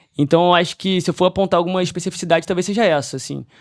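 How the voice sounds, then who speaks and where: Delivered at a very fast pace with a Rio de Janeiro accent, the speech shows ordinary pitch variation on a very clean recording with a silent background. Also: man. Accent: carioca. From Brazil, Rio de Janeiro. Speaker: investment advisory firm partner. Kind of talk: podcast interview.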